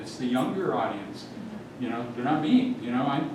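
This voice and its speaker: A man speaks with lively intonation. The room echo is audible, and there is noticeable background noise. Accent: American. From Seattle area, US Pacific Northwest. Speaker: newspaper columnist giving a talk. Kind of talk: illustrated talk to a small audience. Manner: fast.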